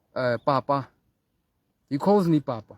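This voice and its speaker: In a dry, close sound with no echo, a man speaks at a fairly high pitch and a fairly slow pace. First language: not English (mother tongue). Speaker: spiritual teacher. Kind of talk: spiritual talk. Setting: outdoors in the mountains. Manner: halting.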